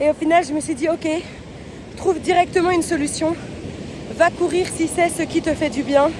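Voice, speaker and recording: At a moderate pace, a woman speaks with an extremely high pitch. There is noticeable background noise. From Belgium. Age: 20s. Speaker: travel vlogger. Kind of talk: vlog. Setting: outdoors.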